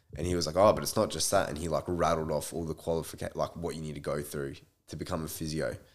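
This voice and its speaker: A man with an Australian accent talks very fast in a very deep, low pitch and a monotone, flat intonation. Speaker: podcast guest. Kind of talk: casual chat.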